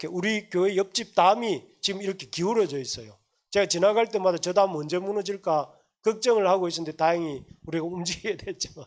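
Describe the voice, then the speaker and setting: The words come fairly quickly, and the pitch varies in an ordinary way. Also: man, high pitch for a man. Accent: Gyeongsang. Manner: combative.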